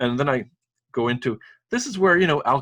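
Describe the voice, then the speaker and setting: Someone with a French accent talks at a very fast pace with ordinary pitch variation, the sound dry and close with no echo. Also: man. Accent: French accent, puzzles French Canadians. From Saint-Pierre et Miquelon (French islands off Newfoundland). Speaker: school principal and elected French delegate. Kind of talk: interview.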